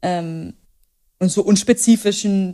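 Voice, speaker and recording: Medium in pitch, a woman's dark, mellow voice moves with ordinary pitch variation. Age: 20s. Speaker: author and journalist. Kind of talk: casual interview.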